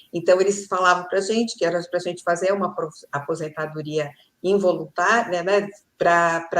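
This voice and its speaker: Speaking with a Brazilian accent, a woman uses a fairly low pitch and fairly even intonation. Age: 70s. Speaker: retired HR manager and digital entrepreneur. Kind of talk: casual conversation.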